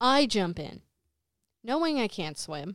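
At a fairly slow pace, the voice comes through dry and close with no echo in a very clean recording with a silent background. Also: woman. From New Jersey, Jersey City. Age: 20s. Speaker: dancer and lighting technician. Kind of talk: casual chat.

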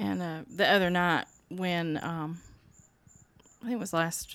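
A woman with a Southern US accent speaks at a fairly low pitch with ordinary pitch variation. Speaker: grieving sister. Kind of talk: casual chat.

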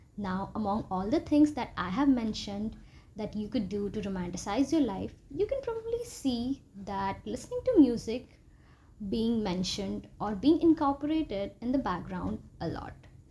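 At a moderate pace, a woman speaks with a dark, mellow tone, vocal fry, lively intonation and a fairly high pitch. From India. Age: 20s. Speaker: podcast host. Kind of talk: solo podcast monologue. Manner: chatty, upbeat.

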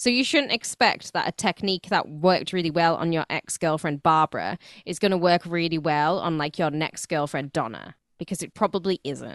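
This woman has an unremarkable speaking voice, pitched fairly low with ordinary variation. She talks at a fairly quick pace. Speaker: radio host. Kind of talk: casual chat.

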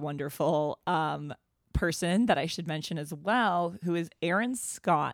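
In a plain, everyday voice with an American accent, the speaker moves at a fairly slow pace. The sound is dry and close, with no echo, on a very clean recording with a silent background. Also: woman. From Boston. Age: 30s. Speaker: comedian and podcast host. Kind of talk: casual chat.

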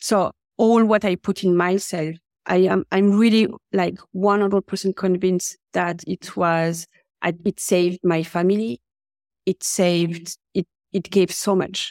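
In a French accent, a woman speaks at a medium pitch with fairly even intonation and very even loudness. Her fairly slow delivery is dry and close with no echo, on a very clean recording with a silent background. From France. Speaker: career coach. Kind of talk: interview.

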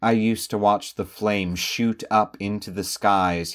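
A man with an American accent, fairly slow and fairly even in intonation, on a very clean recording with a silent background. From US, Sussex County, southern Delaware. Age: 30s. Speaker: podcast narrator. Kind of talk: scripted narration.

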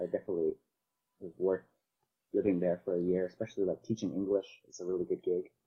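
Very fast speech from a man, broken by long, frequent pauses. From Canada, Vancouver. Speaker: compositing artist and modeler. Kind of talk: casual chat.

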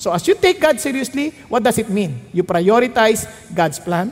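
Noticeable background noise sits behind a man speaking at a moderate pace. His high pitch swings very widely. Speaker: pastor. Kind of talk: sermon.

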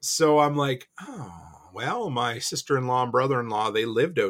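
A man's plain, everyday voice at medium pitch, ordinary pitch variation and a moderate pace, on a very clean recording with a silent background. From Nova Scotia, Canada. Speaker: homesteader and entrepreneur. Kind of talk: casual chat.

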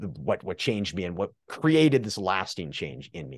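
A man with a Canadian accent, a plain, everyday voice, lively intonation and a moderate pace over a quiet background. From Canada, northern British Columbia. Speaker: addiction recovery coach. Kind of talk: interview conversation.

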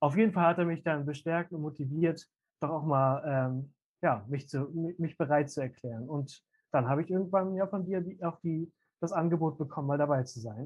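A man with a fairly high voice and ordinary pitch variation speaks at a moderate pace. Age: 20s. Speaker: youth seminar team leader. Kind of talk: casual interview. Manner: hesitant with many fillers.

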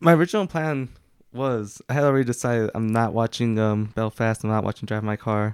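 A man with a normal speaking voice talks fairly quickly at a medium pitch, with ordinary pitch variation. The recording is very clean, with a silent background and a dry, close sound with no echo. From Mexican-American family, US. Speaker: podcast co-host. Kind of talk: casual chat.

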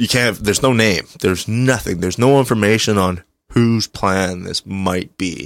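Pitch rises and falls in an ordinary way as an unremarkable speaking voice goes at a moderate pace. The background is silent and the recording very clean. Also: man, fairly low pitch for a man. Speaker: returning guest co-host. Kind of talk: casual chat. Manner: joking, talkative.

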